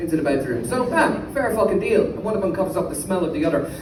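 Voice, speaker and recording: Over noticeable background noise and audible room echo, a man with an Irish accent speaks at a high pitch with ordinary pitch variation. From Ireland. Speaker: comedian. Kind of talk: stand-up. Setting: stage with audience.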